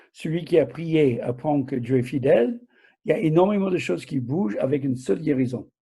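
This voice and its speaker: Recorded very cleanly against a silent background, a man speaks in a fairly high pitch with a dark, mellow, somewhat breathy tone and lively intonation. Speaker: preacher. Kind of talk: sermon.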